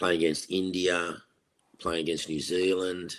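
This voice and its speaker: A man speaks with an Australian accent at a very deep, low pitch. His delivery is monotone and flat at a moderate pace, on a very clean recording with a silent background. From Australia, Sydney. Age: 60s. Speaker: retired test cricketer. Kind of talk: interview.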